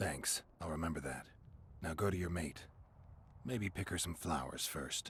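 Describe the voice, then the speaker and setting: A man's put-on character voice, very deep and low, broken by long, frequent pauses over clear background noise. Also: moderate pace. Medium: video game. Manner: terse, level.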